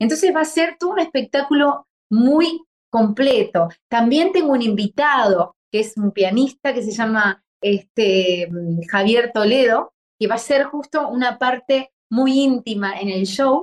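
A woman speaks at a high pitch and a fairly slow pace with lively intonation. The sound is dry and close, with no echo. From Uruguay, Santa Lucía. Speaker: tango singer. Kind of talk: interview.

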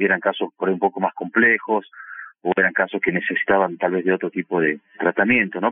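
The man speaks at a fairly quick pace. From Argentina, Salta province. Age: 40s. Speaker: oral surgeon. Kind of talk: interview. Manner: halting, with fillers.

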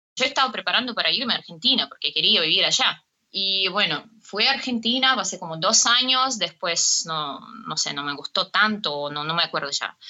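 Her voice sits at a medium pitch. She swings through a very wide pitch range. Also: moderate pace. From Russia. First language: Russian (speaking Spanish). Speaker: tango dancer and dance teacher. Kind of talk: interview.

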